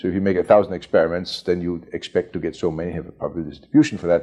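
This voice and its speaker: A man talks at a very fast pace in a German accent. His tone is dark and mellow. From Germany (Bavaria, near Munich), born in Chicago. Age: 70s. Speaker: computer pioneer, mathematician. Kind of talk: oral history interview. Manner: hesitant, many fillers and repetitions.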